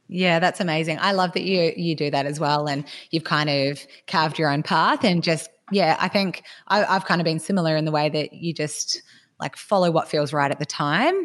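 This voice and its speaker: Speaking with an Australian accent, a woman uses a fairly low pitch and fairly even intonation at a moderate pace against a quiet background. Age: 30s. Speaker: podcast host and personal trainer. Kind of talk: interview.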